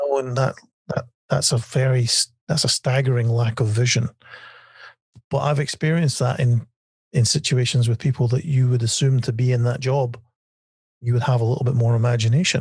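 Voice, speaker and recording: At a fairly quick pace broken by long, frequent pauses, a man speaks in a somewhat breathy voice with very even loudness and fairly even intonation. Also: medium pitch for a man. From Scotland. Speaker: magician and TV writer. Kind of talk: podcast interview. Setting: podcast. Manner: halting, many fillers.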